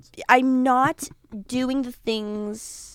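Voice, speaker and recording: Very slowly, a woman with a Californian accent speaks on a very clean recording with a silent background. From Los Angeles, San Fernando Valley. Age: 20s. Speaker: actress. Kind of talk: casual chat.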